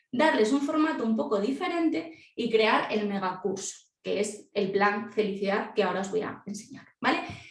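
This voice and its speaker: An animated tone and lively intonation, with audible room echo. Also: woman. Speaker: celiac education presenter. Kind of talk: live webinar presentation. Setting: video call. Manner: fast.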